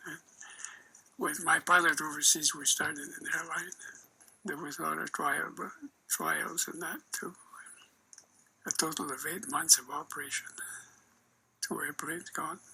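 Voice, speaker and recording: A man at a moderate pace, with long, frequent pauses, big swings in loudness and noticeable background noise. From northern Alberta, Canada. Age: 80s+. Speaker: war veteran, former rear air gunner. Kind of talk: interview answer.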